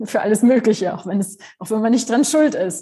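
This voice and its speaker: This woman's voice has a dark, mellow tone. It sounds somewhat breathy. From Germany. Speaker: philosophy professor. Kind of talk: interview.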